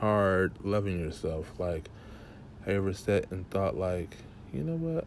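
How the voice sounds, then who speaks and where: A man's very deep, low voice at a fairly slow pace, with lively intonation. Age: young. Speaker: podcast host. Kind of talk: personal monologue. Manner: casual.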